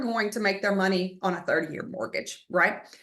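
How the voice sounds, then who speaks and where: With a Texan accent, a woman talks at a fairly quick pace. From Texas, Splendora area. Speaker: real estate agent. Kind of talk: online market update presentation. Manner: fast.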